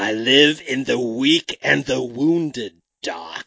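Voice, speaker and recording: A man at a medium pitch uses a put-on character voice and speaks at a very slow pace. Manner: eerie, unsettling.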